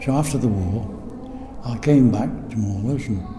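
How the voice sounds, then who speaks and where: With noticeable background noise and audible room echo, a man speaks at a fairly slow pace with ordinary pitch variation. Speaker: former factory worker, war veteran. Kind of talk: oral history interview.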